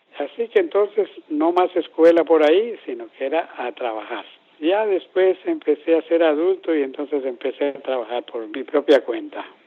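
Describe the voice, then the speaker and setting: Speaking at a moderate pace with hardly any pauses, a man with a high pitch uses lively intonation. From Colombia, Boyacá and Bogotá. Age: 70s. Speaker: parking lot attendant, literacy student. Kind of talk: interview testimony.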